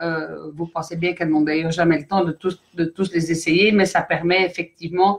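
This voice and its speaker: With a Belgian accent, a woman speaks in a fairly low, monotone, flat voice. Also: moderate pace, hardly any pauses. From Belgium. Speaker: company director. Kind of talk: live stream presentation. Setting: online live stream. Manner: hesitant, many fillers.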